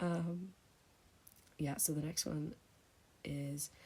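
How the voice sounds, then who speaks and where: Quiet and somewhat breathy, a woman speaks in a very deep, low voice with a dark, mellow tone and monotone, flat intonation. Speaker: ASMR creator. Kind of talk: casual Q&A chat. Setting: home, thin walls. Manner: speaking quietly; hesitant, many fillers.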